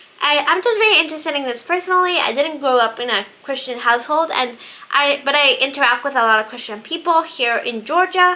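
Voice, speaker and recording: A woman's high, raised, projected voice carries lively intonation at a fairly quick pace with hardly any pauses. Noticeable background noise sits behind her. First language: Spanish. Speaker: book vlogger. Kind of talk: casual monologue about books.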